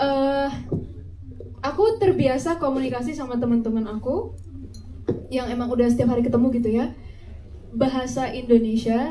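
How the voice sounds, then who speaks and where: A woman speaks at a high pitch with ordinary pitch variation. Her long, frequent pauses are heard with audible room echo. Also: moderate pace. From Batak, North Sumatra. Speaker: actress. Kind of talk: press conference. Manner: animated.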